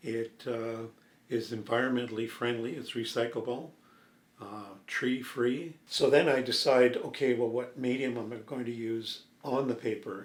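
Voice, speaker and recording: In a relaxed tone with a Canadian accent, a man talks at a moderate pace, his medium-pitched voice monotone and flat, with audible room echo. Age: 70s. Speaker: painter. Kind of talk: interview. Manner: relaxed, with frequent fillers.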